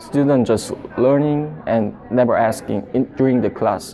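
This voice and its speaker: Words come out very slowly. Background noise is clearly audible. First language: not English. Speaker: international student. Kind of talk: documentary interview. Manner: halting.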